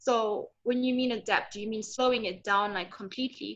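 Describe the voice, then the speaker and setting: Fairly even intonation and a moderate pace from a woman. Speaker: trainee teacher. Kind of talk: question in training session. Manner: hesitant, filler-heavy.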